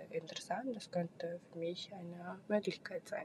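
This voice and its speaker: Fairly low in pitch and somewhat breathy, a woman speaks at a moderate pace. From Kazakhstan. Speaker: podcast host. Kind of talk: solo monologue. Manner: halting, many fillers.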